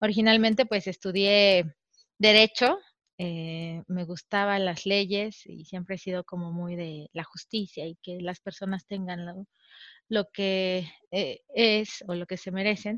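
Over a quiet background, a woman speaks at a very slow pace. The sound is dry and close, with no echo. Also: medium pitch for a woman, big swings in loudness. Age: 30s. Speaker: mother sharing birth stories. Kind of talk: interview testimony.

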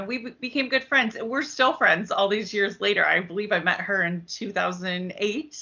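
A woman with an American accent has an ordinary speaking voice, at a medium pitch and a moderate pace with ordinary pitch variation. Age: 40s. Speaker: travel agent. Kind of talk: interview.

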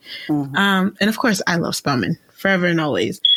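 At a moderate pace and medium pitch, a woman talks with ordinary pitch variation amid noticeable background noise. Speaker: podcast host. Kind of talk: casual interview chat.

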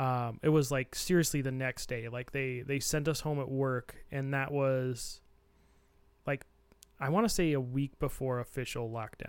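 A plain, everyday voice from a man, fairly high in pitch, with fairly even intonation at a moderate pace on a very clean recording with a silent background. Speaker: editor and podcast co-host. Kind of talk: casual chat.

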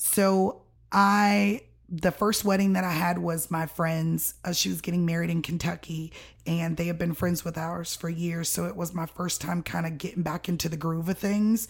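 A woman speaks in a normal speaking voice, fairly low in pitch, at a moderate pace. Her intonation is fairly even, and the recording is very clean with a silent background. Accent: American. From Miami, Florida. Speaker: floral and event designer, business owner. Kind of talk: casual interview chat.

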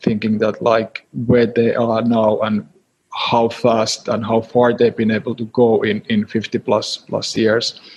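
A man's medium-pitched voice with a Finnish accent, monotone, flat intonation and a very slow pace. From Finland, Helsinki. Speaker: startup advisor. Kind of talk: interview. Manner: halting.

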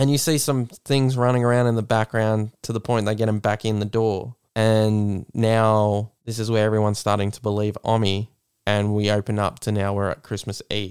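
A man with an Australian accent, fairly low in pitch and monotone in flat intonation, in a very clean recording with a silent background and a dry, close sound with no echo. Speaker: podcast host. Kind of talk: casual chat. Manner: fast talker, mumbles.

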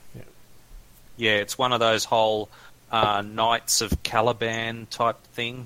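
A man with an Australian accent speaks very slowly at a medium pitch, his tone bright and sharp, his intonation monotone and flat, with big swings in loudness and long, frequent pauses. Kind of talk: casual chat.

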